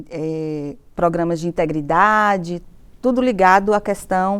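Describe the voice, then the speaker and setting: In a very clean recording with a silent background, a woman with an unremarkable speaking voice talks at a fairly slow pace in a medium pitch, using ordinary pitch variation. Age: 50s. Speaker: university professor. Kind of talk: interview testimony.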